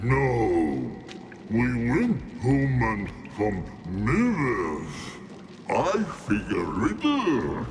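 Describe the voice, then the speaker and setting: Using a put-on character voice at a medium pitch, a man speaks at a very slow pace. Long, frequent pauses break up his speech, and background noise is clearly heard. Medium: video game. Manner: broken, simple grammar.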